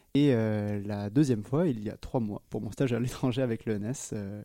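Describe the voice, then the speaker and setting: This man has a fairly low pitch and a dark, mellow tone. His intonation stays fairly even at a fairly quick pace. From southwest France, near Agen. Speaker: physics student. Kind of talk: interview. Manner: hesitant, many fillers and repetitions.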